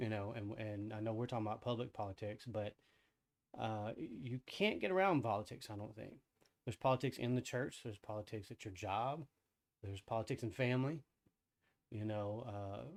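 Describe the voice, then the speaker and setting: A soft-spoken man mumbles at a fairly quick pace with a fairly low pitch and long, frequent pauses. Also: ordinary pitch variation. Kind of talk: casual discussion. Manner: mumbling.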